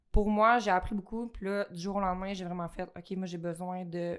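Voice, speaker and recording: With a Quebec accent, a woman speaks in fairly even intonation on a very clean recording with a silent background. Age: 20s. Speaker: fitness studio operations director. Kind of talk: casual podcast interview.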